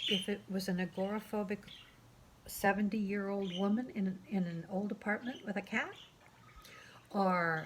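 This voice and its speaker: A woman with a medium-pitched, somewhat breathy voice speaks at a moderate pace, using fairly even intonation and long, frequent pauses. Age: 60s. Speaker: artist and graphic memoir author. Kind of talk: casual talk to camera.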